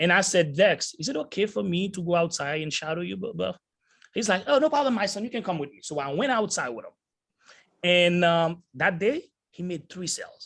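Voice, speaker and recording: A man with a non-native accent, high pitch and an animated tone, at a moderate pace, with big swings in loudness. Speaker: sales entrepreneur, motivational speaker. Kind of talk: motivational talk. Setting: video call.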